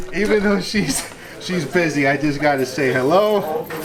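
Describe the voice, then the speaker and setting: Audible room echo and noticeable background noise fill the clip. A man is the one speaking. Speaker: police officer vlogger. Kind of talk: vlog walkthrough. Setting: emergency operations center. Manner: casual, energetic; lowered voice.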